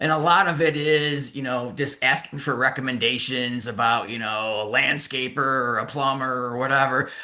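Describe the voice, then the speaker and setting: Medium pitch from a man, bright and sharp in tone, at a moderate pace. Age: 60s. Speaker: attorney and activist. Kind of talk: casual interview.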